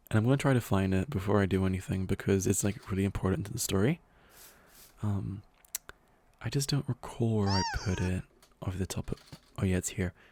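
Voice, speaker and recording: Over noticeable background noise, a man talks at a fairly quick pace in a fairly low pitch. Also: ordinary pitch variation, dry, close sound with no echo. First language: not English. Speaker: gaming youtuber. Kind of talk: casual gameplay commentary. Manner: rambling with many fillers.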